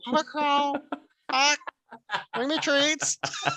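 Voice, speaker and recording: The speaker uses a put-on character voice pitched high. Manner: creepy, cawing.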